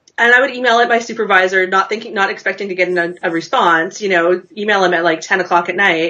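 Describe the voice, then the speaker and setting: With a Canadian accent, a woman talks very fast at a medium pitch, with ordinary pitch variation, hardly any pauses, and noticeable background noise. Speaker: knitting pattern designer and virtual assistant. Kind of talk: interview.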